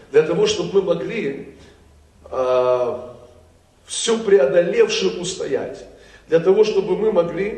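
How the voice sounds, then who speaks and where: A man with a high pitch and lively intonation speaks at a very slow pace, with long, frequent pauses. Audible room echo surrounds him. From Crimea (Kerch). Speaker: pastor. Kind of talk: sermon. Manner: animated.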